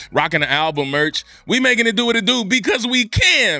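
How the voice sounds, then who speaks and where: In a raised, projected voice, a man sounds bright and sharp, his high pitch making very wide swings while his loudness stays very even. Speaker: podcast host. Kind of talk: motivational podcast talk. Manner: high-energy, loud; enthusiastic, passionate.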